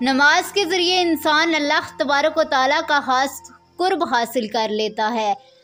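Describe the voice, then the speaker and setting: Lively intonation from a woman with a high pitch, music in the background. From Pakistan. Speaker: voice over artist. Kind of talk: religious narration.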